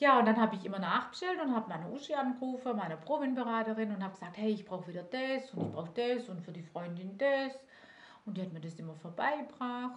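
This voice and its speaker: A woman speaks at a very fast pace with a fairly high pitch and lively intonation. Her loudness swings widely, with audible room echo and noticeable background noise. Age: 40s. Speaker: direct sales manager. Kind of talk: interview.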